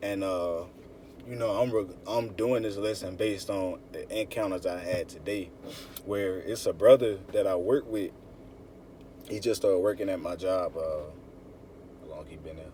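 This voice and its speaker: A man with a fairly low pitch talks at a moderate pace, with big swings in loudness, long, frequent pauses and noticeable background noise. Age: 20s. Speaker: religious teacher. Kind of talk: sermon. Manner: animated.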